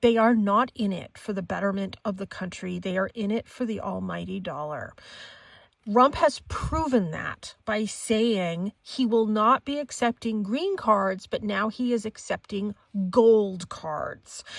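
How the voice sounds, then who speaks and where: In a dry, close sound with no echo, a woman talks at a fairly slow pace. She has a plain, everyday voice, fairly high in pitch, with ordinary pitch variation. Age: 50s. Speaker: psychic tarot reader. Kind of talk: casual monologue with commentary.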